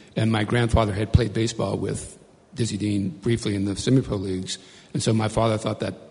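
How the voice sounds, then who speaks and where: A man's unremarkable speaking voice, an unremarkable speaking voice at a fairly low pitch, with fairly even intonation and a fairly quick pace. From US South, Cajun Louisiana. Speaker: magazine editor and author. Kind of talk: panel discussion.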